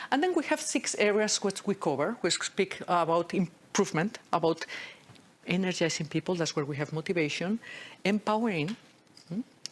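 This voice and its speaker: With a slight Spanish accent, a woman speaks at a medium pitch with lively intonation. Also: moderate pace. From Spain. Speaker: agile leadership speaker. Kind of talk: talk at a meetup. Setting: room with live audience. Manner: animated, interactive.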